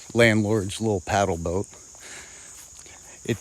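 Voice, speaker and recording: Against noticeable background noise, someone speaks with an American accent. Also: man. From Rochester, New York. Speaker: livestreamer. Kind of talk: casual live stream chat. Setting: outdoors on a pond and fields. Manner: quieter to avoid scaring deer.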